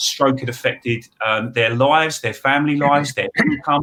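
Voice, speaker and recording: The man talks with an Essex accent at a fairly high pitch. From England, Essex. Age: 40s. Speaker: money advice expert. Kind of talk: webinar panel talk.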